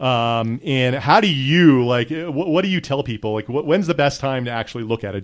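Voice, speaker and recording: A plain, everyday voice, ordinary pitch variation and a fairly quick pace. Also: man. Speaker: podcast host. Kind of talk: casual chat.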